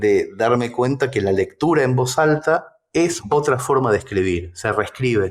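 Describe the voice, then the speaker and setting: In a very clean recording with a silent background, a man with a Rioplatense accent speaks at a fairly slow pace, using lively intonation at a medium pitch. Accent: Argentine Rioplatense Spanish. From Mercedes, Buenos Aires, Argentina. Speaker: writer and storyteller. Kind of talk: interview answer.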